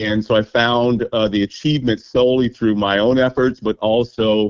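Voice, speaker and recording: A man's plain, everyday voice at medium pitch, moderate in pace and fairly even in intonation. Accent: American. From Kansas, Topeka. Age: 60s. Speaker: university graduate. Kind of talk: interview.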